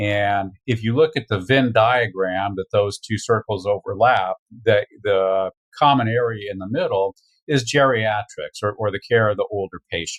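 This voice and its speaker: Dry and close with no echo, the recording has a quiet background. A man speaks at a moderate pace with a fairly low pitch and ordinary pitch variation. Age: 60s. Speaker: veterinarian. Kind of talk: interview. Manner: halting.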